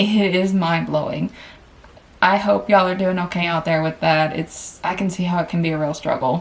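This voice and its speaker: With an American accent, a woman talks, her pitch varying in an ordinary way. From Tennessee, US South. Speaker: vlogger and travel nurse. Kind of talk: casual personal finance vlog. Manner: chatty, conversational.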